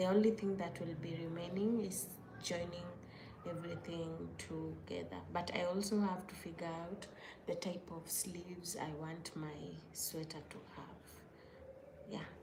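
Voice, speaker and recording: Amid noticeable background noise and audible room echo, a woman with a non-native accent speaks fairly slowly at a fairly low pitch, with fairly even intonation, big swings in loudness, and long, frequent pauses. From Kenya. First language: not English. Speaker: crochet maker and content creator. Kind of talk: casual livestream chat. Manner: casual, with hesitations and self-corrections.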